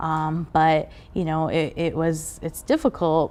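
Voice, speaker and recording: In a western US accent, a woman speaks at a fairly low pitch. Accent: American English, western US. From Mexico, raised in Southern California and Las Vegas. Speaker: immigrant activist. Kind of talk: interview testimony. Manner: halting, many fillers and repeats.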